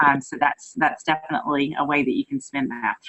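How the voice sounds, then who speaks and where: With a North Carolina accent, a woman speaks at a fairly quick pace. The sound is dry and close, with no echo. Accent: North Carolina country. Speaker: direct sales consultant. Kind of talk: training talk. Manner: fast.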